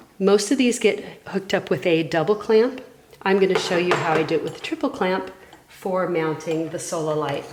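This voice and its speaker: A woman with a medium pitch and normal pitch variation talks at a moderate pace while noticeable background noise carries on. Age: 60s. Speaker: underwater photographer. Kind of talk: tutorial. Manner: casual.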